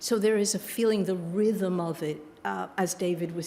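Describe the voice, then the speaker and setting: With a New York accent, a woman speaks at a fairly slow pace and a fairly low pitch. Her intonation is fairly even, and there is noticeable background noise. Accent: New York American. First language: Yiddish. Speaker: author and creative writing teacher. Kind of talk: book event interview.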